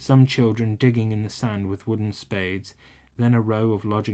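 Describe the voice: Intonation stays fairly even in this plain reading aloud.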